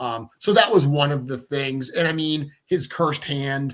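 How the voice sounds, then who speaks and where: A man speaks at a fairly slow pace with a Rhode Island accent. His tone is bright and sharp, his intonation fairly even. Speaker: toy company creator. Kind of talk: casual chat.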